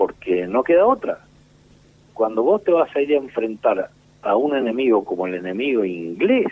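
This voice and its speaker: The speaker is a man at medium pitch. He keeps a moderate pace, and his pitch swings very widely. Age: 60s. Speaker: war veteran. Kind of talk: interview. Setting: phone call.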